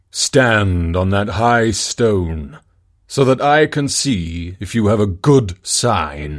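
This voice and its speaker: A put-on character voice from a man, fairly low in pitch and very slow, in a very clean recording with a silent background. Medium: read story. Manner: solemn, commanding.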